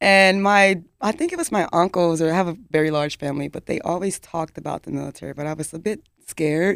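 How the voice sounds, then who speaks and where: Talking at a very fast pace with hardly any pauses, a woman uses a fairly low pitch and an animated tone. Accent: American. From Dallas, Texas. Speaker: military veteran in tech. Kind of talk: interview. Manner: animated, laughs often.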